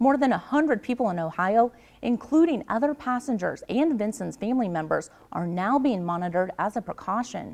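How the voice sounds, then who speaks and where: A woman with a normal speaking voice talks at a fairly quick pace in a fairly high pitch with lively intonation, over a quiet background. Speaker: television news anchor and reporter. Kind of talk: TV news anchor delivery.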